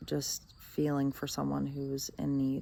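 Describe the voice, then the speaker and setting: A soft-spoken woman's voice. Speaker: vlogger. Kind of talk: video diary monologue. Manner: mellow.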